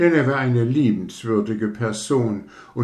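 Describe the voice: Someone does plain reading aloud. Pitch moves up and down in an ordinary way.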